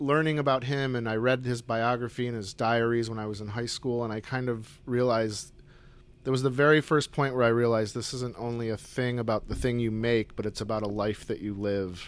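A man with an American accent talks at a fairly quick pace and a medium pitch. His voice is unremarkable, with fairly even intonation. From upstate New York (Syracuse). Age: 40s. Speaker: painter. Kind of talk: casual chat. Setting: artist's studio.

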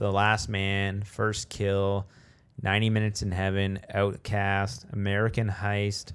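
With a Canadian accent, a man speaks very slowly in a fairly low, monotone, flat voice at very even loudness, on a very clean recording with a silent background. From Canada. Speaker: podcast co-host. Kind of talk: casual chat.

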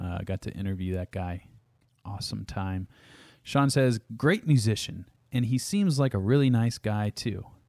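A man's fairly low voice with an American accent and ordinary pitch variation, at a fairly slow pace on a very clean recording with a silent background. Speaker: podcast host and guitarist. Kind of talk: casual chat. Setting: studio.

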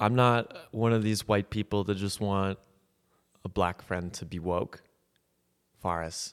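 Fairly low male voice with fairly even intonation and long, frequent pauses. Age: 20s. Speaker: comedian. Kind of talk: casual chat.

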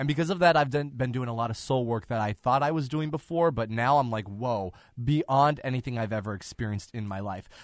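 With a plain, everyday voice, the speaker moves at a fairly quick pace with ordinary pitch variation. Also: man, medium pitch for a man, hardly any pauses. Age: 30s. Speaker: podcast host. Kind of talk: casual chat.

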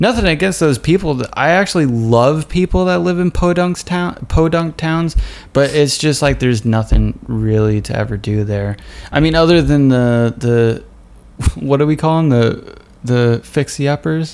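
At a moderate pace, a man with a fairly high pitch and lively intonation speaks in an ordinary speaking voice. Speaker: podcast host. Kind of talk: casual chat. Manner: casual, chatty.

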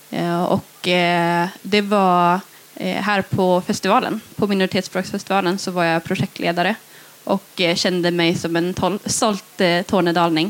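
A woman speaks at a medium pitch and a fairly slow pace, her intonation monotone and flat and her loudness very even. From northern Sweden, Tornedalen. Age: 20s. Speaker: young cultural activist and poet. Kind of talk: interview. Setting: festival stage with live audience.

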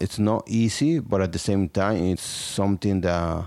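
A man's fairly low pitch with fairly even intonation. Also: very clean recording, silent background. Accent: Spanish. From Mexico, Tlaxcala. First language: Spanish. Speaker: small business owner. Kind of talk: interview testimony.

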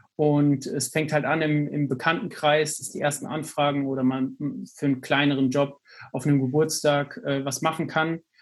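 A man speaks at a moderate pace with a plain, everyday voice. His pitch is fairly high, and his intonation is fairly even. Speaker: podcast co-host, student entrepreneur. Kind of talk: casual chat.

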